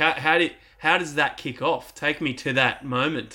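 With an Australian accent, the speaker uses a bright, sharp tone, a moderate pace and ordinary pitch variation. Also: man. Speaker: podcast host. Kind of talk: casual interview chat. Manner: energetic, enthusiastic.

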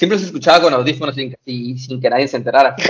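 A man's voice at a medium pitch with ordinary pitch variation. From Mexico. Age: 20s. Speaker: tiktoker and rideshare driver. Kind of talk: interview. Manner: hesitant, many fillers.

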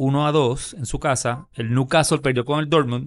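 In an ordinary speaking voice, a man with a fairly high pitch talks at a fairly slow pace with ordinary pitch variation. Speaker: sports podcast co-host. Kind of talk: casual chat.

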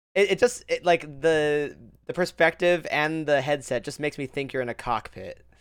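Dry and close with no echo, this very clean recording has a silent background. A man with an unremarkable speaking voice talks at a moderate pace, with a fairly high pitch and ordinary pitch variation. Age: 30s. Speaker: podcast host and streamer. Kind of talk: casual chat.

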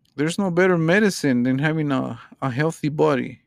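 A man with a fairly high pitch speaks with a non-native accent. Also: very clean recording, silent background. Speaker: podcast host. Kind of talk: casual monologue. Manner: halting.

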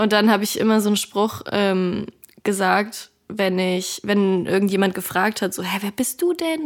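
The speaker is a woman at medium pitch. She talks at a moderate pace. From Germany, northern Hesse. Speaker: singer and social media creator. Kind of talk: casual interview. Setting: remote call.

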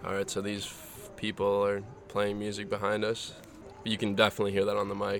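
Music plays behind a man speaking at a fairly quick pace. His pitch is fairly low and his intonation is monotone and flat. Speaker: podcast host. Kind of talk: casual chat. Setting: outdoors, front yard.

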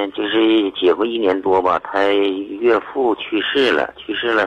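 Against noticeable background noise, a man talks at a fairly slow pace. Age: 50s. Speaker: caller seeking family advice. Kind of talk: call-in advice conversation. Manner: halting, repetitive.

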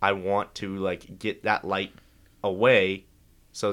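Delivered at a fairly slow pace, an unremarkable speaking voice comes through on a very clean recording with a silent background. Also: man. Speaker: guest. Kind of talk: casual chat.

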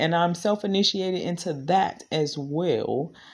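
The tone is animated. The speaker has an American accent. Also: woman. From Washington, D.C. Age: 30s. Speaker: podcaster and spiritual practitioner. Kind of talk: casual monologue.

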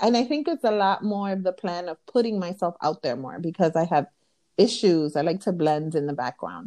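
A dark, mellow tone with lively intonation at a moderate pace, in a New York accent. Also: woman. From Brooklyn, New York (Williamsburg), Dominican family. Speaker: podcast co-host, spiritual practitioner. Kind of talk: casual chat.

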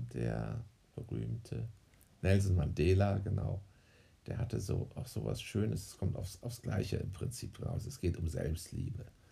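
The voice has a dark, mellow tone with vocal fry. Its pitch swings very widely. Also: man, fairly low pitch for a man, fairly slow pace. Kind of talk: casual chat.

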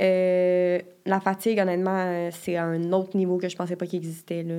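A woman in a Quebec accent, with a dark, mellow tone, medium pitch, monotone, flat intonation and a fairly slow pace. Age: 20s. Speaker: university student. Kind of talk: casual interview.

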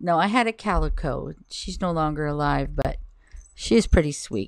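Lively intonation from a woman in a very clean recording with a silent background. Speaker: podcast host. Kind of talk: casual solo podcast, reading poetry aloud. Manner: informal, rambling, hesitant.

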